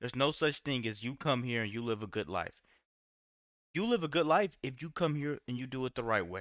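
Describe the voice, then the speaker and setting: With lively intonation and an animated tone, a man speaks in a dry, close sound with no echo on a very clean recording with a silent background. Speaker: political reaction video creator. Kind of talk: reaction commentary rant. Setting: at home, late at night. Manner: animated, heated; yelling.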